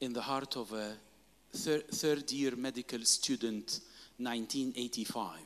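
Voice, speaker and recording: A man's medium-pitched voice, with fairly even intonation, moves at a very slow pace. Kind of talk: sermon, preached in English in short bursts for consecutive translation. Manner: emphatic, call-and-response, pausing after each phrase for the interpreter.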